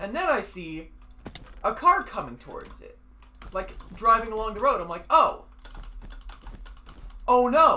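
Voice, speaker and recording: The speech comes at a fairly slow pace with long, frequent pauses. Noticeable background noise sits behind it. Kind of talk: casual gaming chat storytelling.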